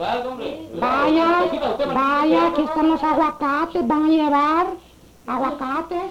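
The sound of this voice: A woman's put-on character voice, high-pitched with a fairly bright tone and ordinary pitch variation, at a very slow pace with audible room echo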